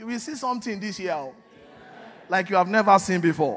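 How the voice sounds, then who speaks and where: A man with a high-pitched voice and an animated tone, over noticeable background noise. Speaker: pastor. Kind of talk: sermon. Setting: church.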